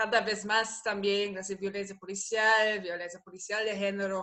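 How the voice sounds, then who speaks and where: Speaking in a Portuguese accent, a woman has a bright, sharp tone at medium pitch with monotone, flat intonation. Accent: Portuguese-tinged Spanish. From Germany. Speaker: researcher and political advisor. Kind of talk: interview conversation. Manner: halting, many fillers.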